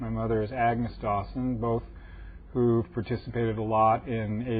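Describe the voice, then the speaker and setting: Speaking with an American accent, a man uses a medium pitch and a somewhat breathy delivery. His pace is moderate. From US West Coast, Los Angeles. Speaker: antiquarian bookseller. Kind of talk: interview.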